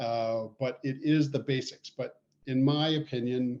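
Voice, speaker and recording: In a normal speaking voice, a man with a Canadian accent talks at a medium pitch with fairly even intonation. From Canada. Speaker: poultry veterinarian. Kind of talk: casual podcast chat.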